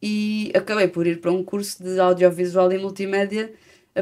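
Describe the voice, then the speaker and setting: With a European Portuguese accent, a woman of medium pitch talks at a moderate pace in a monotone, flat intonation. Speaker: singer-songwriter. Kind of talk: interview. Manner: halting.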